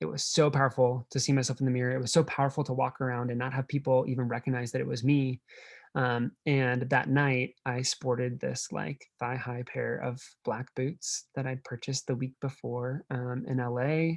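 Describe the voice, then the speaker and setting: In an American accent, a man uses a normal speaking voice at medium pitch, with fairly even intonation and a moderate pace. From Nebraska, US Midwest. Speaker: drag performer and keynote speaker. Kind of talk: keynote talk. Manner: casual, filler-heavy.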